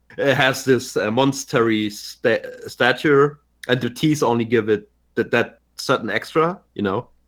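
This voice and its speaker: In a German accent, a man speaks at a fairly slow pace and medium pitch. His pitch varies in an ordinary way. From Germany. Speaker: podcast co-host. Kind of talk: casual chat. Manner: halting, repeats words.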